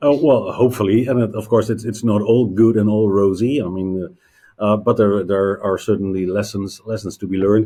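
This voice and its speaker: Fairly quick speech from a man, fairly low-pitched with a dark, mellow tone and fairly even intonation. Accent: Dutch. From Netherlands. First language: Dutch. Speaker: payments industry executive. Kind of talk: interview. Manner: halting, many fillers.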